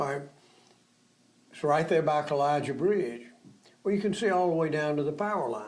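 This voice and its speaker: With an Alabama accent, a man speaks at a fairly high pitch with long, frequent pauses amid audible room echo. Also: lively intonation, fairly quick pace. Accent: Southern US (Alabama). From US South. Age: 80s+. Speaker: local businessman and community elder. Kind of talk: interview, reminiscing.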